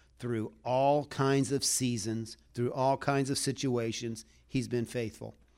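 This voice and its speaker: This is a man with a normal speaking voice at a medium pitch. The recording is very clean, with a silent background. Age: 60s. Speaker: preacher. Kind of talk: sermon.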